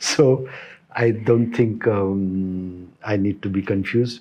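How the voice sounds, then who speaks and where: A man with a Kannada accent speaks in a dark, mellow tone with fairly even intonation. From northern Karnataka, India (Aland, near Solapur border). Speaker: cardiac surgeon. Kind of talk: interview. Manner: halting.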